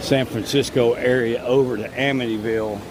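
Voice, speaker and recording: Against noticeable background noise, a man with an American accent speaks with fairly even intonation. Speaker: theme park vlogger. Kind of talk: live stream walkaround commentary. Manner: casual, with frequent fillers.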